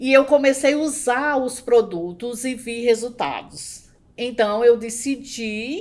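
Here a woman has an ordinary speaking voice with a fairly high pitch and ordinary pitch variation. The recording is very clean, with a silent background. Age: 50s. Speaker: educator and entrepreneur. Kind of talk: interview.

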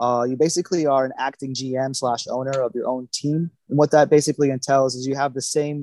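A man with an American accent and an ordinary speaking voice talks at a moderate pace and medium pitch with fairly even intonation, in a dry, close sound with no echo. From Florida (Naples). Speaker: chef. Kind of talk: casual chat.

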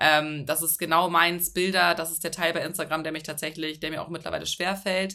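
A bright, sharp tone at a fairly quick pace, with big swings in loudness, hardly any pauses and a monotone, flat intonation. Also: woman, fairly low pitch for a woman. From Hamburg, northern Germany. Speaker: content creator. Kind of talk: casual interview chat.

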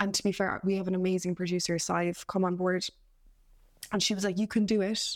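On a very clean recording with a silent background, a woman in a Cork accent speaks fairly quickly at a medium pitch, her loudness very even and her intonation flat and monotone. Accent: Cork Irish. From Ireland, Cork. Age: 20s. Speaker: actor and playwright. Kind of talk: casual interview.

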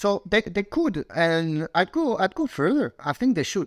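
A man with a non-native accent speaks at a moderate pace with very wide pitch swings. The sound is dry and close with no echo, on a very clean recording with a silent background. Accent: foreign. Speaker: industry expert. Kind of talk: podcast interview.

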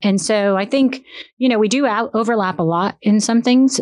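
In a normal speaking voice, a woman talks at a moderate pace with ordinary pitch variation against a quiet background. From South Florida, Boca Raton. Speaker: probate and trust attorney. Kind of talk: casual interview.

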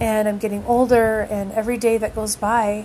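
A woman with a fairly high pitch in monotone, flat intonation at a moderate pace, over noticeable background noise. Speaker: podcast host, music fan. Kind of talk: casual monologue. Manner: rambling, hesitant with fillers.

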